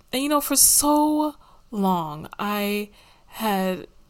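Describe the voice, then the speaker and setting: There is an animated tone to this woman's speech. The recording is very clean, with a silent background. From United States. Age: 20s. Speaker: podcast host. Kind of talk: casual chat.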